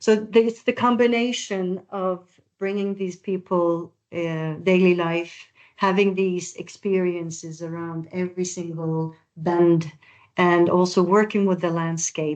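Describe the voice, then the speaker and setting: The speaker has a Norwegian accent and a fairly slow pace. The intonation stays fairly even. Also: woman. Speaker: architect/project presenter. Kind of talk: webinar presentation.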